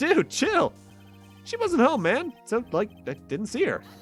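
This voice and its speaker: A man speaks at a fairly slow pace in a put-on character voice, with faint music in the background. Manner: casual, slacker.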